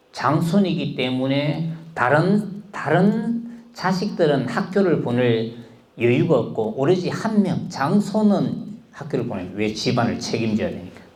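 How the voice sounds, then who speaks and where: The speech moves very slowly with very wide pitch swings and audible room echo. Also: man, high pitch for a man. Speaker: speech instructor. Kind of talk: personal storytelling talk.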